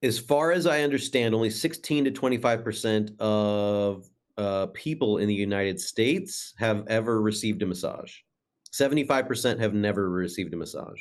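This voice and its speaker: Against a quiet background, a man with an ordinary speaking voice talks at medium pitch and a moderate pace with lively intonation. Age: 40s. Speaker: massage therapist. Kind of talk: casual chat.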